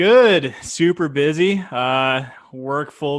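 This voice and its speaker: With a Canadian accent, a man speaks in a plain, everyday voice at a fairly high pitch, using ordinary pitch variation. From Canada. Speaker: YouTube reaction creator. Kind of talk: casual chat.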